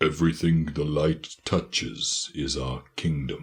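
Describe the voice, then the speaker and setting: A man uses a put-on character voice that is very deep and low, speaking at a fairly slow pace. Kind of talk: regal, proud.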